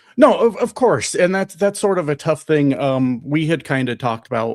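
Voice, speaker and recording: On a very clean recording with a silent background, a man uses a normal speaking voice at a moderate pace with ordinary pitch variation. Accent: American. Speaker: live streamer. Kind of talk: casual chat. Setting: live stream.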